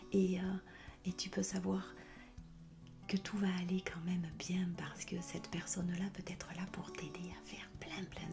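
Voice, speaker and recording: A woman talks at a fairly slow pace in a medium pitch. Music plays in the background. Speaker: hypnotherapist. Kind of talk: soft-spoken ASMR talk to viewer. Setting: background music. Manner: soft-spoken, a little louder and more dynamic than whispering.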